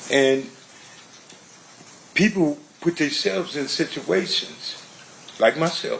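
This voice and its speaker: Amid noticeable background noise, a man with a fairly high voice and lively intonation talks at a very slow pace with long, frequent pauses. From Compton, Los Angeles, US. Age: 60s. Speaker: trial witness. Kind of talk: courtroom testimony. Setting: courtroom.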